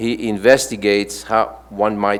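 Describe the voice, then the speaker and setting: Fairly low in pitch, a man talks with a strong French accent. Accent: thick French. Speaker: panel moderator. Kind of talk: reading aloud panelist bios. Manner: halting, frequent stumbles and fillers.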